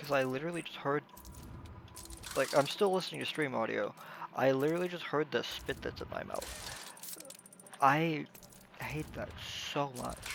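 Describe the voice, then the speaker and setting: Quiet speech at a moderate pace, with long, frequent pauses and noticeable background noise. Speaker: gaming streamer. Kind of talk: casual live stream commentary. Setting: live stream.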